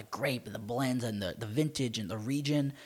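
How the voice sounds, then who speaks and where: A man with a normal speaking voice talks at a moderate pace and medium pitch, with ordinary pitch variation. The recording is very clean, with a silent background. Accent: American. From Maryland, US. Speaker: wine podcast co-host. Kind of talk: casual chat.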